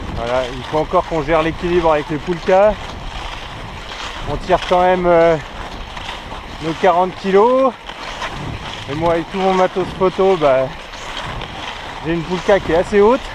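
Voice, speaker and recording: Ordinary pitch variation at a moderate pace, broken by long, frequent pauses, over noticeable background noise. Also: man, high pitch for a man. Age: 30s. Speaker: filmmaker on a ski expedition. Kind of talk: casual vlog commentary. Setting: outdoors in the Arctic. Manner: hesitant, many fillers.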